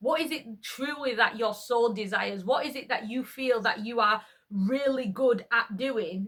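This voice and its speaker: High-pitched woman with a Yorkshire accent, ordinary pitch variation and a moderate pace. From Yorkshire, northern England. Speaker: YouTuber. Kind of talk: casual monologue vlog. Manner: conversational, with hesitations.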